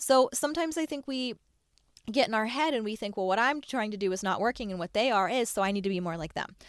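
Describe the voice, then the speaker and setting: Animated and very fast, the voice has lively intonation, with dry, close sound and no echo on a very clean recording with a silent background. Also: woman. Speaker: podcast host, online business coach. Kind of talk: solo podcast monologue.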